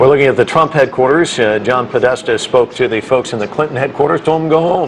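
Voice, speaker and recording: Over noticeable background noise, a man of medium pitch talks at a fairly quick pace with ordinary pitch variation. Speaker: news anchor. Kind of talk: live election coverage.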